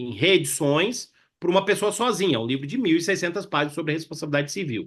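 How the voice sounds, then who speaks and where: Against a quiet background, a man talks at a fairly quick pace with a Minas Gerais caipira accent and lively intonation. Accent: caipira (Minas Gerais) accent, kept. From Minas Gerais, Brazil. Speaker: law professor. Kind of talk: webinar panel discussion. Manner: conversational, many fillers.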